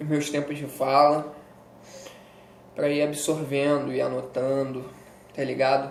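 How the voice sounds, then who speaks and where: There is audible room echo around a man whose voice is fairly high in pitch. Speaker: educational youtuber teaching history. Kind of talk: casual exam-prep lecture. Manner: animated.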